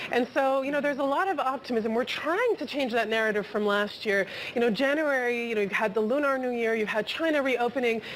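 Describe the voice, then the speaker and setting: Over noticeable background noise, a woman speaks at a very fast pace with hardly any pauses, a high pitch, ordinary pitch variation and very even loudness. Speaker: markets reporter. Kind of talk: live TV market discussion. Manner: stuttering.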